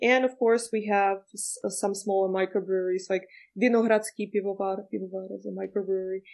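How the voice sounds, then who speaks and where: A woman speaks in a Czech accent with fairly even intonation. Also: quiet background. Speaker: guest, Prague local. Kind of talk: interview.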